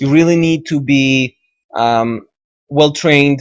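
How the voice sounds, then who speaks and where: At a fairly slow pace, a man with an Israeli accent talks with ordinary pitch variation. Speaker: video game tutorial maker. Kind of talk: tutorial. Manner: halting, many fillers.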